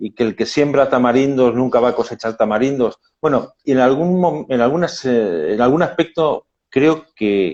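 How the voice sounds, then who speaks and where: A man at medium pitch and moderate pace, lively intonation, quiet background. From Spain, Madrid. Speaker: labor lawyer. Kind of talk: casual chat. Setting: video call. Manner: halting.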